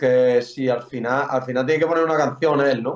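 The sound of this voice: A man speaks at a medium pitch and a moderate pace with fairly even intonation.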